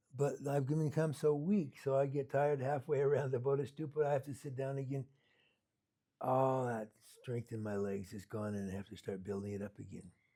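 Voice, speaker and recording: In an American accent, the voice is somewhat breathy with a dark, mellow tone, ordinary pitch variation and a fairly quick pace. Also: man, medium pitch for a man. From US Pacific Northwest, Seattle. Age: 70s. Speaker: Buddhist meditation teacher. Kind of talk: dharma talk. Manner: casual, halting with repetitions.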